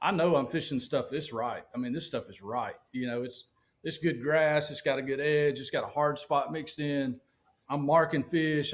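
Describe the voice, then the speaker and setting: The man speaks with a Southern US accent. His pitch is fairly high, and his pace is moderate. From US South, Alabama. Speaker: professional bass angler. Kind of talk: casual interview chat. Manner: animated.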